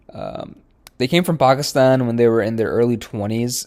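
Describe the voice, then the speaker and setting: A man with a Midwestern US accent speaks at a medium pitch and fairly even intonation. The recording is very clean, with a silent background. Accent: General American, Midwestern. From Michigan, US Midwest. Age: 20s. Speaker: dentist. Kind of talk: recorded self-introduction presentation. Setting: pre-recorded presentation.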